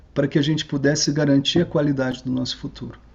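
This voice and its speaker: There is vocal fry in this man's voice. His pitch sits fairly high. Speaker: researcher giving a talk. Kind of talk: online lecture. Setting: online video call.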